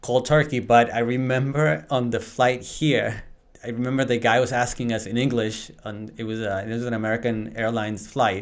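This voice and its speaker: With a Spanish accent, the speaker keeps a moderate pace and fairly even intonation. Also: man, medium pitch for a man. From Venezuela, moved to US at 13. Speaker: real estate agent. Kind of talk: podcast interview. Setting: studio.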